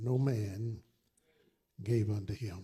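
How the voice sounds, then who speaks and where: With an American accent, a man speaks in a dark, mellow tone that is somewhat breathy, his intonation fairly even. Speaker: pastor. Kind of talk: scripture reading. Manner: passionate, vivid storytelling.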